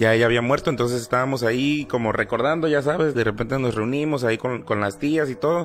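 A man's medium-pitched voice at a very fast pace, with very even loudness, ordinary pitch variation, hardly any pauses and noticeable background noise. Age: 30s. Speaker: podcast guest. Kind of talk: casual chat about paranormal experiences. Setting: live stream.

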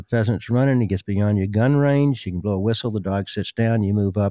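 With an American accent, a man talks fairly quickly at a medium pitch with ordinary pitch variation, his tone dark and mellow and the sound dry and close with no echo. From US South, South Carolina. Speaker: dog trainer and breeder. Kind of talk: casual interview chat.

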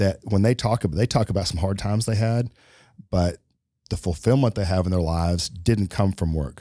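Speaking at a moderate pace with fairly even intonation, a man with a very deep, low pitch and a dark, mellow tone comes through on a very clean recording with a silent background. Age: 50s. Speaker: podcast co-host. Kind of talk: casual chat.

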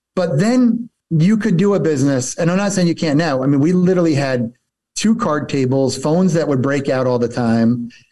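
Fairly high for a man, this voice has a dark, mellow tone, lively intonation and a New Jersey accent. He talks at a fairly quick pace with very even loudness. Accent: New Jersey American. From northern New Jersey. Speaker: entrepreneur. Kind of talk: casual interview.

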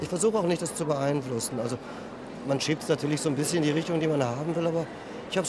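A man talks at a very fast pace with a fairly high pitch and ordinary pitch variation. Noticeable background noise sits behind him. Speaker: fantasy novelist. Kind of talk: interview.

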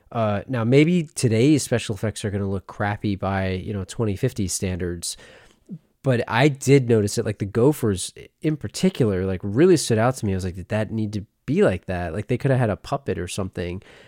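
Captured in a very clean recording with a silent background and a dry, close sound with no echo, a man speaks at a fairly quick pace in a fairly low pitch, his tone dark and mellow with ordinary pitch variation. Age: 30s. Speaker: movie podcaster. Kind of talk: casual chat. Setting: live stream.

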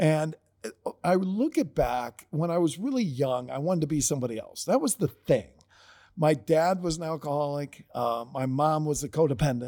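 In a very clean recording with a silent background, a man with an American accent speaks at a moderate pace in a dark, mellow tone, his fairly high pitch showing ordinary variation. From Ohio, US Midwest. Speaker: author and leadership coach. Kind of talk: casual chat.

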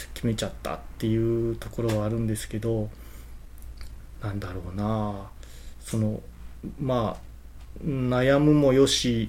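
Pausing long and often, a man speaks at a very slow pace with audible room echo. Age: 40s. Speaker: company president, second-generation successor. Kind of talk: interview.

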